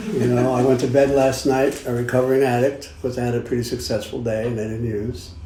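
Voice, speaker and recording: Man with a Brooklyn accent at medium pitch, at a very fast pace. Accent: New York (Brooklyn). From Brooklyn, New York. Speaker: recovering addict sharing at a meeting. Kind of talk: recovery meeting share.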